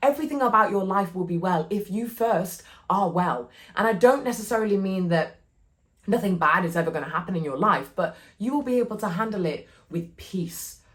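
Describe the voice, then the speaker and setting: With an animated tone and lively intonation, a woman speaks in a somewhat breathy voice. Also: medium pitch for a woman, fairly quick pace. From northern England, Cheshire. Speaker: podcast host, wellbeing community founder. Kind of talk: motivational talk.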